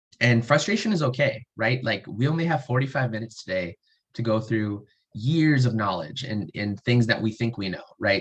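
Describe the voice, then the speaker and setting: Somewhat breathy and at a fairly quick pace, a man speaks at a medium pitch with ordinary pitch variation. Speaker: researcher and student presenter. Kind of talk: webinar presentation. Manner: fast; animated.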